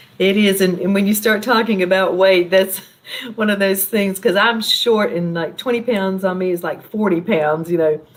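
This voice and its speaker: Over noticeable background noise, a woman with an American accent talks at a moderate pace in a medium pitch with fairly even intonation. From US South, Charlotte, North Carolina. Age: 60s. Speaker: wellness coach. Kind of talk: interview.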